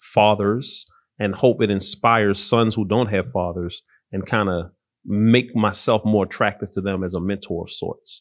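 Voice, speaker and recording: An ordinary speaking voice with fairly even intonation at a fairly slow pace, over a quiet background. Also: man. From Baltimore, Maryland. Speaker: pastor and Marine veteran. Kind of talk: interview conversation.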